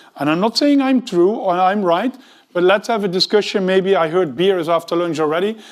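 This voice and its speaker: The recording is very clean, with a silent background. A man with a Dutch accent speaks at a high pitch with ordinary variation. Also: fairly quick pace. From Netherlands. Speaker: tech executive, conference speaker. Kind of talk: conference talk.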